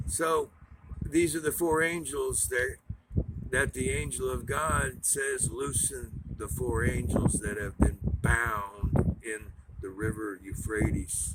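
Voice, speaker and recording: A man speaks at a fairly low pitch and a very slow pace. His pitch swings very widely over noticeable background noise. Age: 60s. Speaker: preacher. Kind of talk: sermon. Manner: rambling, halting.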